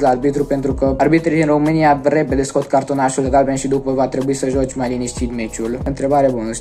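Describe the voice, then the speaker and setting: A man races along at a very fast pace with hardly any pauses and monotone, flat intonation. Faint music sits in the background. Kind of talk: interview answer. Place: home room. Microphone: phone near.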